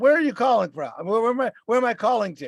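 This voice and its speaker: On a very clean recording with a silent background, a man speaks with a Boston accent. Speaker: podcast co-host and rideshare driver. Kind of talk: casual chat. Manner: halting.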